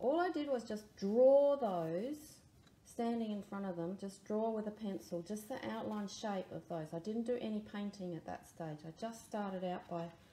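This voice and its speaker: A woman at a fairly slow pace, with light background noise and audible room echo. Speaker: art teacher. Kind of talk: tutorial.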